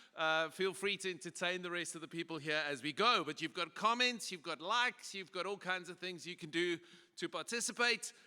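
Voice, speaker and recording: A man speaks with a South African accent at a fairly quick pace. His voice is high-pitched with a bright, sharp tone and ordinary pitch variation. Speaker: pastor and conference speaker. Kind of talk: conference presentation. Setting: stage with audience. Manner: casual and humorous.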